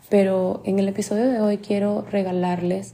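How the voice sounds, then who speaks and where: The voice has a dark, mellow tone and is somewhat breathy. It moves at a fairly slow pace in a flat monotone. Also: woman. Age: 20s. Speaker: podcast host and life coach. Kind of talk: motivational solo podcast talk.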